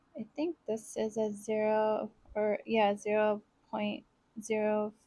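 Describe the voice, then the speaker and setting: A soft-spoken woman with a dark, mellow tone, a fairly high pitch, ordinary pitch variation, and a very slow pace. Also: long, frequent pauses. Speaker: planner vlogger. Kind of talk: casual voice-over while crafting.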